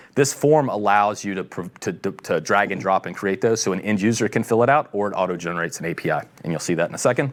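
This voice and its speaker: His pitch is fairly low. The man speaks at a very fast pace. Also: ordinary pitch variation. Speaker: tech company executive presenting a product. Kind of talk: technical product presentation.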